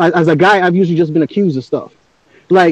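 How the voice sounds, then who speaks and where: A man's high-pitched, animated voice at a very fast pace. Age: 30s. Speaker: discussion panelist. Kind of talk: casual group discussion.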